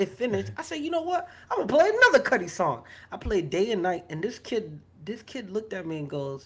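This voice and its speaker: The delivery is animated and fairly quick. Noticeable background noise sits behind it. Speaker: podcast co-host. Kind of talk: casual chat. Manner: loud.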